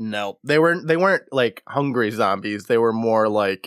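Over a very clean, silent background, a man speaks at a moderate pace and medium pitch with lively intonation, the sound dry and close with no echo. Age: 30s. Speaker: podcast host. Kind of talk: plot recap with quoted dialogue; casual chat. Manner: animated.

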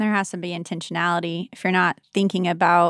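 A woman's fairly low voice, an unremarkable speaking voice, dry and close with no echo on a very clean recording with a silent background. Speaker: church ministry leader. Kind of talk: casual chat.

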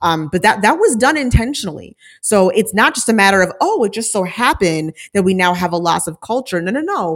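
A woman's medium-pitched voice, an ordinary speaking voice, at a fairly quick pace with lively intonation and hardly any pauses. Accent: American. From Minnesota, Saint Paul area. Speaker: author and educator. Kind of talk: interview.

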